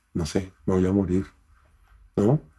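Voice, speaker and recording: This man's voice carries a dark, mellow tone. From Colombia. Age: 60s. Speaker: cancer survivor and interpreter. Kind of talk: interview conversation. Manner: animated.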